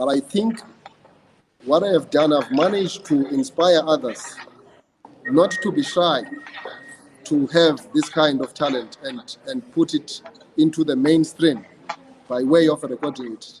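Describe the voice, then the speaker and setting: A man with a South African accent, fairly high in pitch, with lively intonation and long, frequent pauses. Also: fairly slow pace. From South Africa, Eastern Cape (Idutywa). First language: isiXhosa. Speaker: praise poet. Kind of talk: interview. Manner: hesitant, with repeated words and fillers.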